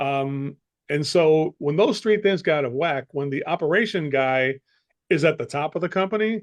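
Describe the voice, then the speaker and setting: A man with a plain, everyday voice and an American accent talks at a moderate pace, his pitch fairly high with ordinary variation. The sound is dry and close, with no echo. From United States. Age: 60s. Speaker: sales coach. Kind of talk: interview.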